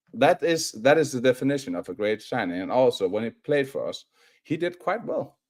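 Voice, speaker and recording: Someone with a non-native accent speaks at a moderate pace with vocal fry and very wide pitch swings. The sound is dry and close, with no echo. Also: man. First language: not English. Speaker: football fan co-presenter. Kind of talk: casual chat on live stream. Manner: animated; halting.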